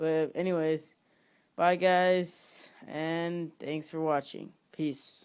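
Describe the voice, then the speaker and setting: A very slow pace on a very clean recording with a silent background. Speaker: YouTuber making tutorials. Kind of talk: casual tutorial outro. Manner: hesitant, filler-heavy.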